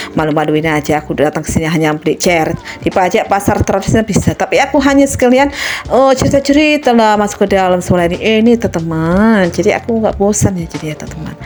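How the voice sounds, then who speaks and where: Over noticeable background noise, a woman of medium pitch speaks at a very fast pace with very wide pitch swings. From Medan, North Sumatra, Indonesia. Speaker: vlogger. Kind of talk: casual vlog talk to camera.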